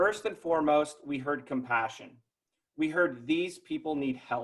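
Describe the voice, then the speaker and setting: This is a man speaking. His pitch is fairly high. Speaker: neighborhood task force member. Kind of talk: prepared speech. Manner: fast.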